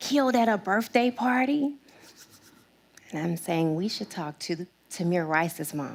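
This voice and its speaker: With a passionate tone, a woman of medium pitch swings very widely up and down. She talks at a fairly slow pace and leaves long, frequent pauses. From Arkansas. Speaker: diversity and inclusion strategist. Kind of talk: TEDx talk.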